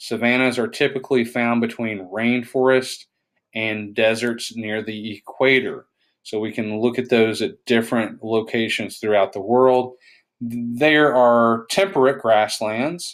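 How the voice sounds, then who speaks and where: Music plays in the background as a speaker with an East Tennessee accent talks with fairly even intonation. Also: man, medium pitch for a man, fairly slow pace. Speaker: science teacher. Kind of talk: recorded lecture. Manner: halting.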